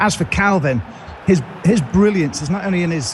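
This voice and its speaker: With lively intonation, a man talks at a fairly quick pace. Noticeable background noise is present. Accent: slight Merseyside. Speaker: football pundit. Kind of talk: studio discussion. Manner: halting, with restarts.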